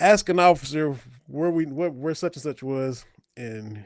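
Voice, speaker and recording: A man with a Kentucky accent. His pitch sits fairly high for a man. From southeastern Kentucky, Appalachian mountains. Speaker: sports podcast host. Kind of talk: casual chat.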